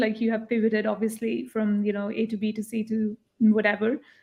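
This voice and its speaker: A woman with a non-native accent speaks at a moderate pace in a somewhat breathy voice. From India. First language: not English. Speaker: jury member giving pitch feedback. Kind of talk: panel feedback at live online event. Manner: hesitant, with fillers.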